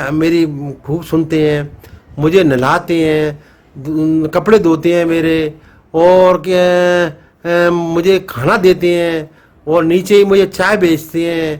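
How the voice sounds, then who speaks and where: A man's high-pitched voice stays monotone, with flat intonation. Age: 70s. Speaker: elderly father of the vlogger's family. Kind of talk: casual talk to camera. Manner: halting, many fillers.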